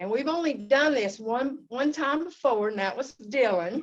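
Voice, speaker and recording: A woman speaks at a moderate pace with lively intonation, in a Southern US accent. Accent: Southern American. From US South. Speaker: club evaluator. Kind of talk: speech evaluation.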